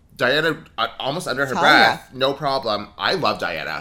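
A man speaks with a Southern California accent at a fairly high pitch. Vocal fry runs through his voice. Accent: Valley Girl, Californian-sounding. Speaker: podcast co-host. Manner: says "like" a lot, elongates words.

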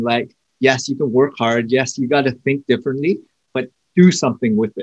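Here is a man with an unremarkable speaking voice at a moderate pace. His intonation is lively and the sound is dry and close, with no echo. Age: 40s. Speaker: podcast host. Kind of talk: interview.

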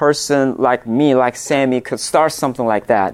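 The man in this clip talks at a moderate pace. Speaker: church ministry consultant. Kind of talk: conference workshop demonstration. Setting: stage with audience.

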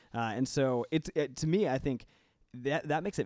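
A man talks in an unremarkable speaking voice with ordinary pitch variation. The recording is very clean, with a silent background. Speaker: guest on Congress and politics. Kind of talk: casual panel discussion.

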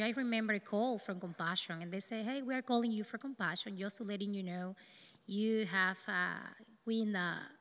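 With a Dominican accent, a woman speaks at a moderate pace in a fairly high pitch, her tone bright and sharp and her pitch varying in an ordinary way. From Dominican Republic. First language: Spanish. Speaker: neurosurgeon. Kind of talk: testimony.

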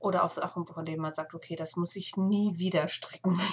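A woman talks at a moderate pace, her fairly low pitch held in a monotone, flat intonation, with noticeable background noise behind her. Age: 40s. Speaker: knitting podcaster. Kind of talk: casual solo podcast monologue. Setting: home attic room.

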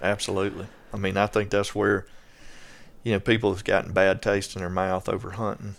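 A man with a strong Southern US accent talks at a fairly quick pace and fairly low pitch in a monotone, flat intonation, in a very clean recording with a silent background. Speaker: land management expert. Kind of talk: casual chat.

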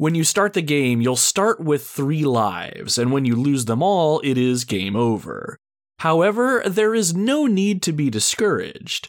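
Keeping his loudness very even, a man with a fairly high pitch speaks fairly slowly while his pitch swings very widely. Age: 30s. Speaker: gaming podcast host. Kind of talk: solo scripted podcast monologue.

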